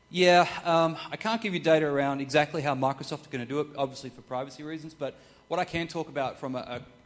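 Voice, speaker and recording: A fairly high-pitched man at a very fast pace, with big swings in loudness and an Australian accent. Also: ordinary pitch variation. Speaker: corporate sustainability consultant. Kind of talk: talk with audience Q&A.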